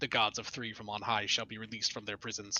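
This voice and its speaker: A man puts on a raspy character voice and talks at a very fast pace. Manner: ominous.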